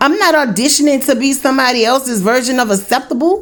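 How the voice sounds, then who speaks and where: A woman with a New Orleans accent speaks in an animated tone. Her voice is high, and her pace is moderate. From New Orleans, US South. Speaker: YouTube commentator. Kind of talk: commentary monologue.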